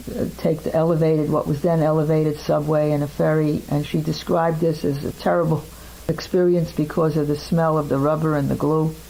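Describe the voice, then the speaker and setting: Over noticeable background noise, a woman with a very deep, low pitch talks fairly quickly in a flat monotone at very even loudness. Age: 70s. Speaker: interviewee recounting family history. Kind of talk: oral history interview.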